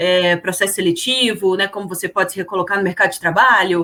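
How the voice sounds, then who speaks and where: A woman with a Brasília accent at a fairly quick pace. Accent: Brasília (candango). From Brasília, Brazil. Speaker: HR consultant and career coach. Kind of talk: podcast interview.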